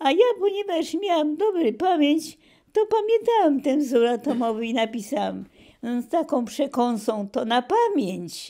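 Over a quiet background, a woman with a high, dark, mellow voice makes very wide pitch swings. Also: fairly slow pace. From southern Poland, Kraków; southern Poland. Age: 90s. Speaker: retired professor. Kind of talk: oral history interview. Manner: halting. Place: home room.

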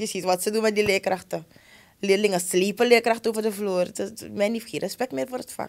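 Vocal fry at a fairly quick pace, with ordinary pitch variation and a quiet background. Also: woman, medium pitch for a woman. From Suriname. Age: 30s. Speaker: schoolteacher. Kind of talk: interview conversation. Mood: earnest, passionate about teaching. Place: studio. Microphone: studio mic.

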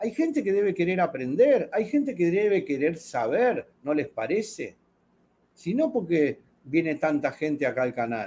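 Fairly slow and dark with a mellow tone, a man's voice sits high in pitch and makes very wide pitch swings. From Argentina. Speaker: fishing channel host. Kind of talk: casual chat. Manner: animated. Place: home room. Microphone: webcam.

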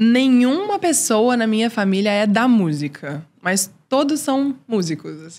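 Pitched fairly high, a woman speaks at a fairly slow pace with hardly any pauses. Her pitch swings very widely and her loudness shifts in big swings. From Brazil, Recife-born, raised in Brasília; Brazil. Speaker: singer and writer; podcast guest. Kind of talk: interview. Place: studio. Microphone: studio mic.

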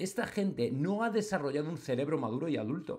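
A man talks at a moderate pace with a fairly high pitch and an animated tone. His pitch swings very widely over a quiet background. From Spain. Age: 40s. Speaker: football commentator on online channel. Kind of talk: opinion monologue. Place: home room.

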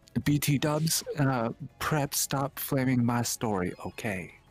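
A man in a put-on character voice speaks at medium pitch and a fairly slow pace, wheezy and breathy, with music in the background.

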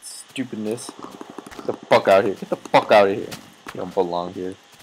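Fairly low male voice with big swings in loudness amid noticeable background noise. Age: young. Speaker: gaming YouTuber. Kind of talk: gameplay commentary. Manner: animated.

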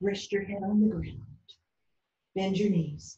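Soft-spoken, with a soothing, dark, mellow tone and vocal fry, the voice sits over light background noise. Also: woman. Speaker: yoga instructor. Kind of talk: guided yoga class with calm step-by-step instructions for children. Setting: video lesson, speaking to the camera. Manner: soft, slow, soothing, encouraging; clear, rhythmic cueing paced to breaths. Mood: calm, gentle. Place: home room. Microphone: camera far.

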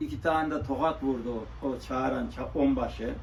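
Audible room echo surrounds the voice of the man speaking. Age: 70s. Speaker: tinsmith and coppersmith craftsman. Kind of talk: interview. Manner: halting.

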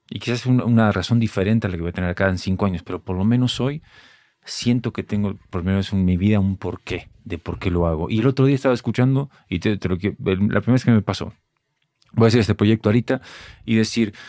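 Against a quiet background, a man talks at a very fast pace in a fairly low, dark, mellow voice with ordinary pitch variation and a dry sound with no echo. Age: 30s. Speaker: podcast host. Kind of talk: casual chat. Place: studio. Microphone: studio mic.

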